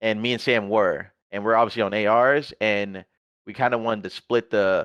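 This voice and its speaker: The background is quiet. A man speaks in a fairly low pitch with monotone, flat intonation. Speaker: esports pro player. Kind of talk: casual chat. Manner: fast.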